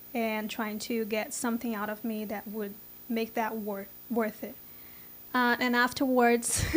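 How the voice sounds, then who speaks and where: This woman has a fairly high pitch. She speaks with a Brazilian Portuguese accent. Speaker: software engineer. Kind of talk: interview. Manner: halting.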